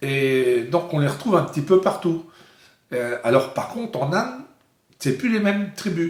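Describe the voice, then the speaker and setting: Pausing long and often, a man talks at a fairly slow pace in a high pitch with very wide pitch swings. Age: 60s. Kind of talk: interview. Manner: halting.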